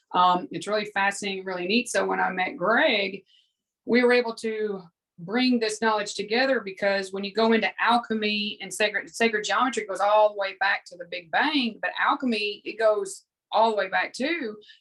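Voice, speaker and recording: With a Southern US accent, a woman talks at a moderate pace in a fairly high pitch, her loudness swinging widely. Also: ordinary pitch variation. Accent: Southern American. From US South. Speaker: spiritual teacher and former fitness competitor. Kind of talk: casual interview chat.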